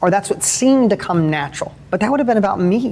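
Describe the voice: Talking fast, a man uses a high pitch with vocal fry and a slightly mellow tone. His intonation is lively, and faint background noise can be heard.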